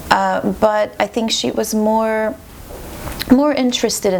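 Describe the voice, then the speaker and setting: With noticeable background noise present, a woman talks at a moderate pace. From Montreal, Quebec. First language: French. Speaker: classical violinist. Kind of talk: interview.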